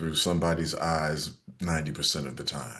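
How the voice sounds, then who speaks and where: This man speaks at a fairly slow pace. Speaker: actor and jazz vocalist. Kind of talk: interview answer.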